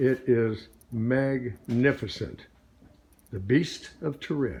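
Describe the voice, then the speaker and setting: Very slowly, a man talks at a medium pitch with ordinary pitch variation. His voice is somewhat breathy. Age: 80s+. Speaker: car builder. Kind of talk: casual video update. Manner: animated.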